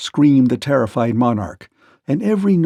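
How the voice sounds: Over a quiet background, the speaker uses a natural reading voice with lively intonation.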